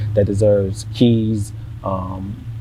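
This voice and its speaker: A man's fairly low voice with an American accent, amid audible room echo and noticeable background noise. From US South, Savannah, Georgia. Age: 20s. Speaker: local influencer. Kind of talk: podcast interview.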